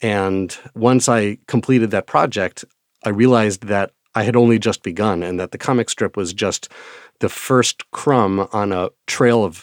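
On a very clean recording with a silent background and a dry, close sound with no echo, a man with an American accent speaks at a fairly low pitch and a fairly slow pace, with ordinary pitch variation. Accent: Midwestern, slight, thicker when annoyed. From Wisconsin. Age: 40s. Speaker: children's book author and educator. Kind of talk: interview monologue.

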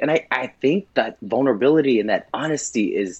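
Using a plain, everyday voice, a man with a fairly high pitch and lively intonation speaks at a moderate pace. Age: 30s. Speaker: drag performer. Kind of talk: casual interview.

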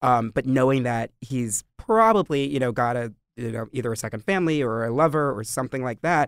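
This man talks at a fairly quick pace with medium pitch and ordinary pitch variation, in an unremarkable speaking voice. The sound is dry and close, with no echo. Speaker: podcast host and interviewer. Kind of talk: casual chat.

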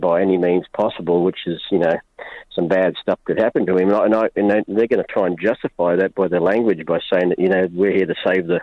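A man with an Australian accent talks at a fairly quick pace in a very deep, low pitch, using a monotone, flat intonation and very even loudness. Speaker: caller. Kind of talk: call-in radio talk. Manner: halting, repeats words.

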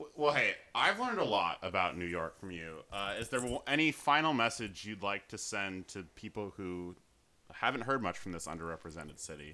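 A man with a fairly low pitch and a bright, sharp tone speaks at a fairly quick pace, with lively intonation and big swings in loudness. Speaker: podcast host. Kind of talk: casual interview chat.

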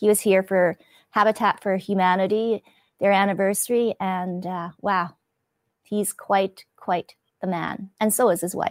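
Spoken in a Canadian accent at a fairly slow pace, with monotone, flat intonation. The recording is very clean with a silent background, and the sound is dry and close with no echo. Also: woman, medium pitch for a woman. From Canada, Winnipeg. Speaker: TV host and podcaster. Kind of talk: interview.

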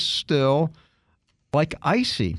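A man speaks in an animated, upbeat tone. The recording is very clean, with a silent background. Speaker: radio host. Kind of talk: radio announcer patter: brisk sign-off plugging email address, website and sponsor; casual technology talk show chat. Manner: upbeat, fluent, conversational; explanatory, jokey, animated.

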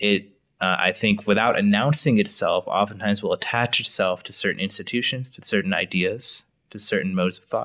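A man with an American accent at a fairly quick pace, dry and close with no echo, on a very clean recording against a silent background. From US Midwest, Wisconsin. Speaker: think tank researcher. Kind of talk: casual discussion.

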